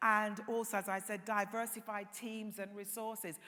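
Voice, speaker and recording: In a British accent, a woman with a fairly high pitch and a bright, sharp tone talks at a moderate pace with monotone, flat intonation. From England. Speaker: tourism industry panelist. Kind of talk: conference panel talk.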